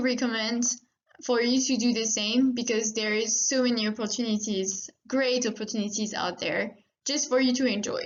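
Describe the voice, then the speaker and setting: A woman with a French accent, high in pitch, with fairly even intonation. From France. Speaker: veterinary student, course moderator. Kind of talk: presentation.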